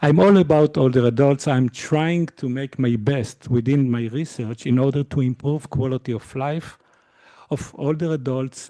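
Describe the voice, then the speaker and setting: A man's voice comes through dry and close with no echo, against a quiet background. His tone is dark and mellow. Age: 50s. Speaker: university lecturer. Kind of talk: lecture. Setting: lecture hall with audience and Zoom. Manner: hesitant, many fillers.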